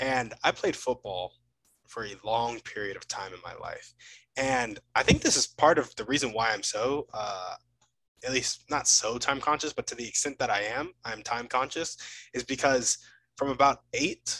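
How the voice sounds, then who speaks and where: Speaking at a moderate pace with ordinary pitch variation, the man has a bright, sharp tone in a dry, close sound with no echo. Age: 20s. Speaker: podcast host. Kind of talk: casual interview.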